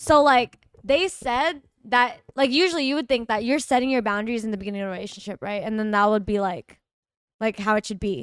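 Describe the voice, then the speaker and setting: A woman with an American accent speaks in a normal speaking voice, fairly high-pitched and at a fairly quick pace, her intonation lively and the sound dry and close with no echo. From Texas. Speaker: livestream guest, influencer. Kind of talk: casual chat.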